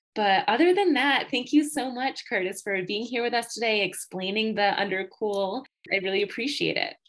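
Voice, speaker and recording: In a plain, everyday voice with an American accent, a woman speaks at a moderate pace with hardly any pauses, a fairly high pitch and ordinary pitch variation. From Western New York. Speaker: podcast host, physical therapist. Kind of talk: casual interview.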